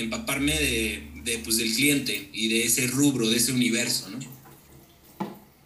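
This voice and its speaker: With a Mexican accent, a man is heard in a room with audible echo and noticeable background noise. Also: hardly any pauses. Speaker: musician. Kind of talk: casual chat.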